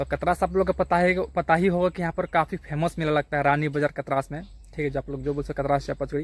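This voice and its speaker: A man's very fast, somewhat breathy delivery with fairly even intonation. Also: dry sound with no echo. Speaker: vlogger. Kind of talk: casual vlog chat. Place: open country. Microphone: phone near.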